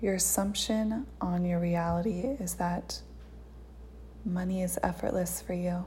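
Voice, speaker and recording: A woman speaks at a fairly slow pace in a gentle, soothing tone with very even loudness. Noticeable background noise is present. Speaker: meditation guide. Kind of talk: guided meditation. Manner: slow, soothing, calm and unhurried with long pauses; gentle, hypnotic, coaxing.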